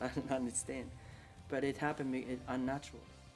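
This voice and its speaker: A man with a Spanish accent talks at a very fast pace and medium pitch. Music plays in the background. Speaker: migrant interviewee. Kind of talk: interview testimony.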